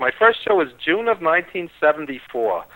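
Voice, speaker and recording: This is a man with a New York accent. His pitch is high. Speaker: wrestling radio host and producer. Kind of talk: interview.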